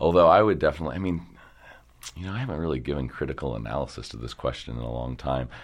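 A man with an American accent talks at a very fast pace over a quiet background. His voice is very deep and low, with vocal fry. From Baltimore area, Maryland (Dundalk). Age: 30s. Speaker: photo booth company co-founder. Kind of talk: casual interview.

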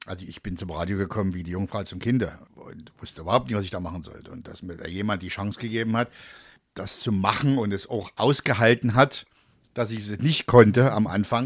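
The speech moves at a fairly quick pace, with ordinary pitch variation and big swings in loudness. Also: man, fairly low pitch for a man. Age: 50s. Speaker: radio presenter and comedian. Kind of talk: casual chat. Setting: studio.

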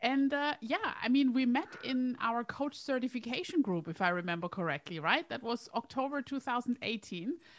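Speaking with a non-native accent, a woman uses a high voice with very wide pitch swings, moving at a moderate pace with hardly any pauses. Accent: foreign-accented English. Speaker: career coach and hypnotherapist. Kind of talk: casual chat.

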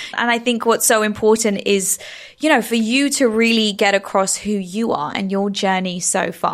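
A woman talks in a plain, everyday voice at a moderate pace with ordinary pitch variation. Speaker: podcast host. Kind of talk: interview.

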